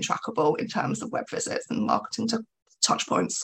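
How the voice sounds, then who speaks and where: A woman with an English accent. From England. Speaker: business executive. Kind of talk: interview.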